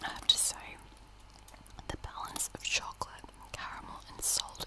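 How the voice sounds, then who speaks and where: Whispering speech is broken by long, frequent pauses. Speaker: ASMR creator. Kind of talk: ASMR unboxing and eating. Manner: whispered. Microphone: studio mic.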